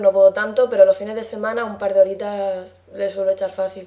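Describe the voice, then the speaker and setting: With noticeable background noise, a woman talks at a fairly quick pace in a fairly high pitch, keeping her intonation fairly even. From Murcia, Spain. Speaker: gamer guest. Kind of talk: casual interview.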